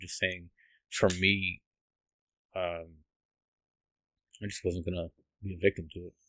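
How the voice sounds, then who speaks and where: A man speaks with a very deep, low pitch at a moderate pace. His intonation stays flat and monotone. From US Northeast, Massachusetts. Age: 40s. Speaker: army combat veteran and police officer. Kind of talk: testimony in podcast interview. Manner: halting, many fillers and restarts.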